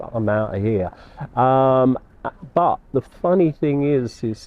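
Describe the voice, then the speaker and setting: A man with a London accent and a medium-pitched voice. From London (Battersea). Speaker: artist. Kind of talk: interview.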